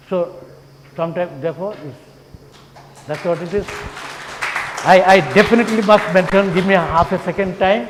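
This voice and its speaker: Crowd noise fills the background as a voice moves at a fairly quick pace with long, frequent pauses, ordinary pitch variation and big swings in loudness. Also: man, high pitch for a man. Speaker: professor. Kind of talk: conference talk. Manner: fast.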